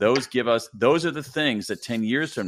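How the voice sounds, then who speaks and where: Here is a man with a normal speaking voice at medium pitch and a moderate pace. The recording is very clean, with a silent background. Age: 50s. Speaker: bestselling nonfiction author. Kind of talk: podcast interview, explaining his book.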